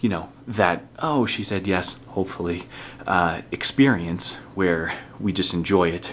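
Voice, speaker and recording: Very deep and low in pitch, a man speaks at a fairly slow pace with ordinary pitch variation. Noticeable background noise sits under his voice. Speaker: vlogger. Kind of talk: vlog.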